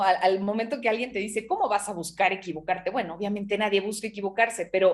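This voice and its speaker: Behind the speaker, music plays in the background. A woman talks at a medium pitch with fairly even intonation. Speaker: TV news anchor and broadcaster. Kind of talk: interview answer, personal reflection. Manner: conversational, reflective, with hesitations.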